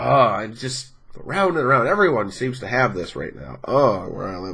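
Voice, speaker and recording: A man talks at a moderate pace and medium pitch with very wide pitch swings. Audible room echo surrounds his voice. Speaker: gaming youtuber. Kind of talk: channel update vlog. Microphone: snowball mic, possible audio problems.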